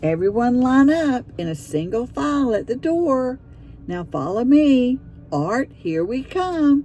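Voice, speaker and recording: A female-sounding put-on character voice, high-pitched, fairly slow, with very wide pitch swings over clear background noise. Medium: read story.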